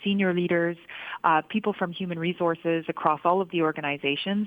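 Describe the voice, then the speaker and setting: The woman speaking has a medium pitch. Her intonation is fairly even. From Canada. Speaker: business school professor. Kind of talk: radio interview. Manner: frequent filler hesitations.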